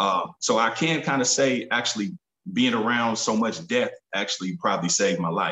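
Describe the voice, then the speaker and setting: A man with an unremarkable speaking voice, medium pitch, lively intonation and a moderate pace. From US Midwest, Kansas City, Missouri. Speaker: rapper and entrepreneur. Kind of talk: interview.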